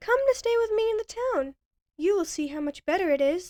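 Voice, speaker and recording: Squeaky and put-on, this character voice moves at a fairly quick pace with very wide pitch swings and a dry, close sound with no echo. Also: woman, extremely high pitch for a woman. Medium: read story. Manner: jumpy.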